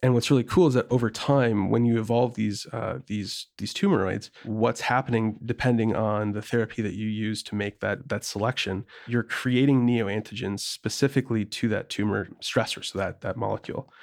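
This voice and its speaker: With an American accent, a man speaks in an ordinary speaking voice at medium pitch, keeping a moderate pace with hardly any pauses and fairly even intonation. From rural Wisconsin. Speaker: biotech startup founder and CEO. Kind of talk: interview.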